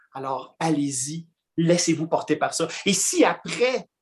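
Fairly slow, high-pitched man's voice with lively intonation. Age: 40s. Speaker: comic book columnist and actor. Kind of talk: casual interview.

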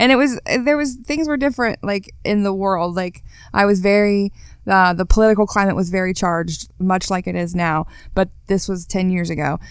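In an unremarkable speaking voice, a woman talks at a medium pitch. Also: moderate pace, very clean recording, silent background. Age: 30s. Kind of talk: testimony. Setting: studio.

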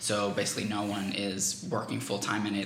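A man with a fairly low pitch talks at a moderate pace in a room with audible echo and noticeable background noise. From Venezuela. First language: Spanish. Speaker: political campaigner, graduate student. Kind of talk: interview.

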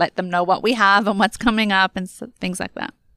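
A woman speaks at a medium pitch in a monotone with flat intonation, her tone bright and sharp. The recording is very clean and the background silent, with a dry, close sound and no echo. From Australia. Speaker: author and entrepreneur. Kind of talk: interview.

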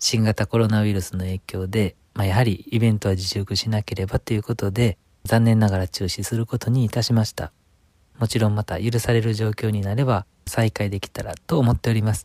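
Dry and close with no echo, the recording holds a man's dark, mellow tone at a fairly low pitch. His intonation is fairly even and his pace fairly quick. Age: 30s. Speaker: Buddhist priest and radio interviewer. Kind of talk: podcast introduction monologue. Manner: polite.

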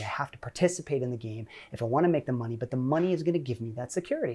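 Talking at a very fast pace, a man has an American accent and a somewhat breathy voice. The recording is very clean, with a silent background. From Ohio, US. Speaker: tech professional and career influencer. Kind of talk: podcast interview. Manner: casual.

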